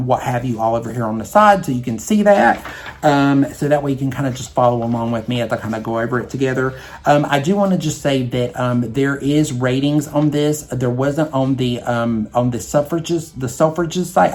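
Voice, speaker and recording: With a Southern US accent, a man speaks at a fairly quick pace. His pitch is medium, with ordinary variation. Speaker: beauty vlogger. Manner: hesitant, lots of filler.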